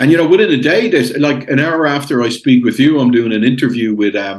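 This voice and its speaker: Ordinary pitch variation with an Irish accent. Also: man. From Ireland. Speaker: international investor. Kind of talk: podcast interview.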